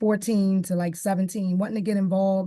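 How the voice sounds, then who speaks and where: A woman with an American accent, a dark, mellow tone and flat, monotone intonation. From Baltimore, Maryland (West Baltimore). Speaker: police community officer. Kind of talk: presentation. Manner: projecting loudly.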